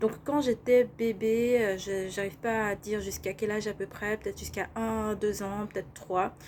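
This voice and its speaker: With an unremarkable speaking voice, a woman at medium pitch keeps a moderate pace, fairly even intonation, and hardly any pauses. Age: 30s. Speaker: life coach. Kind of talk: vlog monologue.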